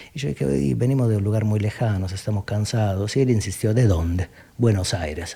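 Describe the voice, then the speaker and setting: A man talks at a fairly quick pace in a fairly low, somewhat breathy voice with a dark, mellow tone. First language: southern Italian dialect (speaking Spanish). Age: 40s. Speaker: philosopher.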